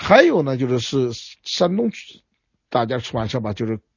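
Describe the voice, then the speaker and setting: A somewhat breathy man's voice at medium pitch, moderate pace, and lively intonation. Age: 60s. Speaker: historian. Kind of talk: interview. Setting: remote via phone.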